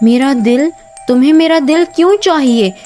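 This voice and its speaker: Clear music plays in the background as a woman speaks in a shaky, put-on character voice. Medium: read story. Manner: hesitant, trembling.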